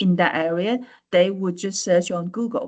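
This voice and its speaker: A woman speaks with a Chinese accent. Her pace is fairly slow. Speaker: AI lecturer. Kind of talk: webinar presentation. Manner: halting, many fillers and repetitions.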